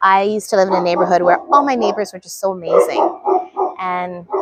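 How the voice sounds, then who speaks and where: In a dry, close sound with no echo, a woman with a western Canadian accent speaks at a moderate pace in a medium pitch. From British Columbia, Canada. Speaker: gardening vlogger. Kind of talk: casual chat. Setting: outdoors.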